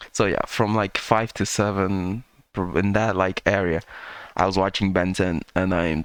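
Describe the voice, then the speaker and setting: Speaking fairly slowly with a non-native accent, a man uses a very deep, low pitch and very even loudness. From third world country. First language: not English. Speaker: reaction youtuber. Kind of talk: casual commentary. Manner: halting.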